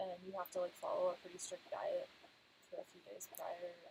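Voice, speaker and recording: A soft-spoken woman talks at a fairly quick pace. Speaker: travel vlogger. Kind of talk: live stream chat.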